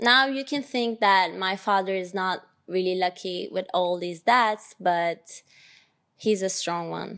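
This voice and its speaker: Speaking with a Turkish accent, a woman is heard. Her pitch varies in an ordinary way. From Turkey (Ankara). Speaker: podcast host. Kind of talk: personal monologue.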